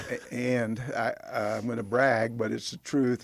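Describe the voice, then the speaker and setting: Speaking at a fairly slow pace with a Texan accent, the voice keeps a fairly even intonation on a very clean recording with a silent background. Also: man. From Texas (Bonham). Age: 70s. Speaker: former pro football player. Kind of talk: interview.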